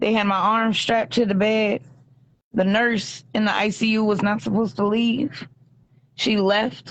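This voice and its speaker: A woman has an unremarkable speaking voice with a fairly high pitch. She talks at a fairly slow pace, with fairly even intonation and very even loudness. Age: 30s. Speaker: hospital patient. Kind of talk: video call interview. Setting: hospital bed, video call. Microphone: bad reception, dropping out.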